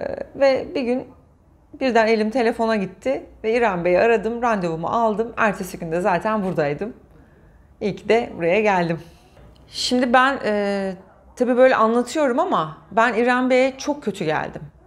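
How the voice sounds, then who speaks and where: A woman with a fairly high pitch speaks at a moderate pace using lively intonation. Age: 40s. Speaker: patient sharing IVF story. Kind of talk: interview testimony. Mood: warm, emotional recollection. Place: studio.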